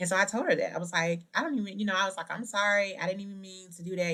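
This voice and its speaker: A woman's Southern US accent with ordinary pitch variation. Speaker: podcast host. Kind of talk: motivational podcast talk. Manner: casual, conversational.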